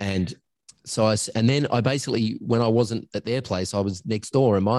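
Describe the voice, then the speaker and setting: Speaking at a fairly quick pace with an Australian accent, a man with a fairly low pitch shows ordinary pitch variation against a quiet background. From Australia, northern suburbs of Adelaide. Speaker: agency coach and founder, former voiceover artist. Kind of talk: interview. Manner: talkative, rambling.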